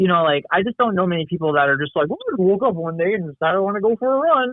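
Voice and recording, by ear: In a high pitch with an American accent, a man speaks at a very fast pace with lively intonation, the sound dry and close with no echo.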